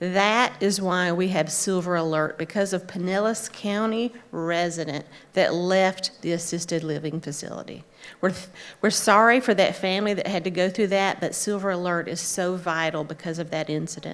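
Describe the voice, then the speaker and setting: A woman talks at a moderate pace with a medium pitch. She has a normal speaking voice and fairly even intonation. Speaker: clinical social worker. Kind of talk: conference talk.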